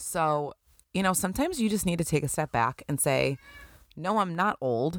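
A woman with a Western New York accent speaks at a moderate pace and a fairly low pitch, her tone animated and her intonation lively. The sound is dry and close, with no echo. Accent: Western New York (Inland North) American. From Buffalo, New York. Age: 30s. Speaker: podcast host. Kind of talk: casual solo monologue. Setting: recording at home at night.

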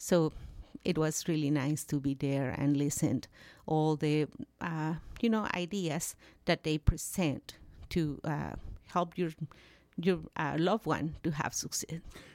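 In a very clean recording with a silent background, a woman with a Mexican accent and a very deep, low pitch speaks at a fairly slow pace, with long, frequent pauses and ordinary pitch variation. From Mexico. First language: Spanish. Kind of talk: casual interview. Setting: studio.

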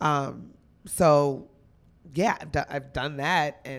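A woman with an American accent speaks at a very deep, low pitch with vocal fry. The recording is very clean, with a silent background. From New Jersey (Union). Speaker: stand-up comedian. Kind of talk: casual interview chat.

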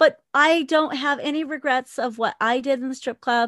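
Against a quiet background, a woman with a high voice speaks at a moderate pace with lively intonation, the sound dry and close with no echo. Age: 40s. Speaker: podcaster and former exotic dancer. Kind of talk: interview conversation. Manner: laughs often.

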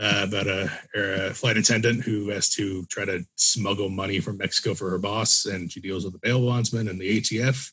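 Here a man with fairly low pitch speaks at a moderate pace with hardly any pauses. His intonation is fairly even, and he has an unremarkable speaking voice. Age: 20s. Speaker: podcast host, film reviewer. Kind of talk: casual interview about films.

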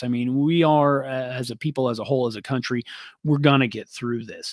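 The recording is very clean and dry, close with no echo and a silent background. A man with a normal speaking voice talks at a fairly quick pace. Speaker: lumber yard operator. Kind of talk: interview.

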